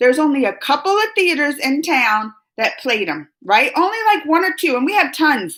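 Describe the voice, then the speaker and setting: Animated in tone, a woman speaks at a high pitch with very wide pitch swings. Her pace is moderate. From US South, New Orleans, later moved north. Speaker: YouTube reaction host. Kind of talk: live stream chat reading viewer comments. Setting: live stream.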